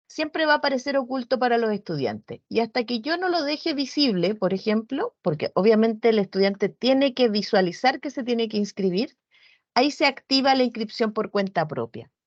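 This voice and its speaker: With lively intonation, a woman talks at a fairly quick pace over a quiet background. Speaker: virtual education coordinator; instructor giving a platform training. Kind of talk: online training session. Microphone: video call.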